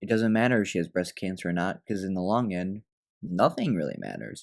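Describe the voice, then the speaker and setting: A man at a fairly quick pace, on a very clean recording with a silent background. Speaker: comedy film reviewer. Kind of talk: comedic video review narration. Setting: at home, others asleep. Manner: talking quietly.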